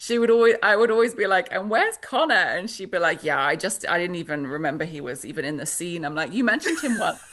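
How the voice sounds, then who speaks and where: With a British accent, a woman speaks at a fairly quick pace in a bright, sharp tone, her medium-pitched voice carrying lively intonation. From Britain. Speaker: author. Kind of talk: interview. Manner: halting.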